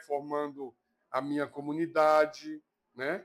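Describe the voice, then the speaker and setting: A man speaking at a fairly slow pace. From Bahia, Brazil (Itabuna, south Bahia). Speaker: Candomblé priest. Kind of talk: interview testimony. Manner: halting.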